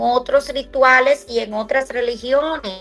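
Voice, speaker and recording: Music plays behind a woman with a high pitch. She speaks at a fairly slow pace with fairly even intonation. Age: 60s. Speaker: radio host. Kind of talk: religious talk. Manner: halting.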